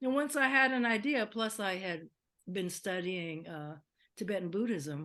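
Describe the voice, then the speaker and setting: A bright, sharp tone in an American accent, with lively intonation at a moderate pace. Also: woman, medium pitch for a woman. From US West Coast. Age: 70s. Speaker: musician. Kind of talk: interview. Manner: talkative.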